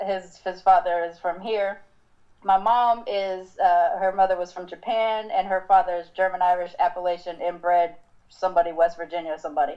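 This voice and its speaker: A woman with an American accent and an unremarkable speaking voice talks at a medium pitch and a moderate pace. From Southern California, Long Beach/Compton. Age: 40s. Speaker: podcast host. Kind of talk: casual chat.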